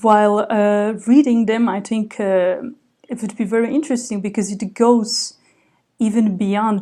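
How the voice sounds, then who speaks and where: With a Slovak accent, a woman speaks at a moderate pace in a fairly high pitch. Her tone is dark and mellow, her intonation fairly even. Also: very clean recording, silent background. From Slovakia. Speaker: writer and literary translator. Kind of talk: interview. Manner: hesitant, many fillers.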